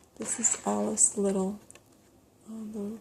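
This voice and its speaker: A soft-spoken woman at a very slow pace and medium pitch. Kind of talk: ASMR show and tell.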